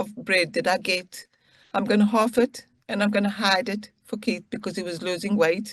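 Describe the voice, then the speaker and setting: Speaking at a moderate pace, the woman's voice is somewhat breathy. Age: 60s. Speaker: freed hostage. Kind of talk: testimony.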